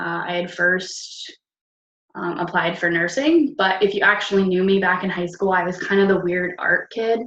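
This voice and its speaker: This woman has a normal speaking voice with an American accent. Her pitch is medium and her intonation fairly even at a moderate pace. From upstate New York. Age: 20s. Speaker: network marketing team leader. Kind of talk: casual personal story to team. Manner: casual, filler-heavy.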